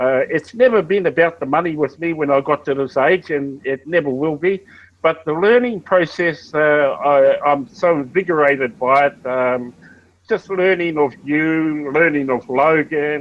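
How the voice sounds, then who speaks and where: Speaking at a fairly slow pace with an Australian accent, a man uses a fairly high pitch with ordinary pitch variation. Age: 60s. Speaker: network marketing member. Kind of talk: casual chat. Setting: video call.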